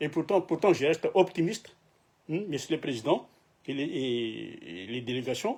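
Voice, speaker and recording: A fairly high-pitched man with vocal fry and lively intonation, at a fairly slow pace. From Madagascar. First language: Malagasy (speaking French). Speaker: political activist, YouTuber. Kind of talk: political address to camera. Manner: halting, many hesitations and repetitions.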